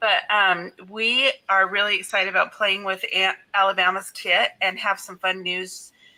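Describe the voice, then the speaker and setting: A woman's bright, sharp tone at a fairly slow pace. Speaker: scrapbooking channel host. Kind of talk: casual livestream chat. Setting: live stream.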